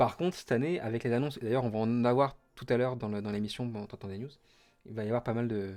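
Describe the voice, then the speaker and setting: Recorded very cleanly against a silent background, a man at medium pitch speaks at a moderate pace with ordinary pitch variation. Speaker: Twitch streamer hosting Disney parks news. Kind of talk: casual live stream chat. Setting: home office, live stream. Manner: hesitant, many fillers.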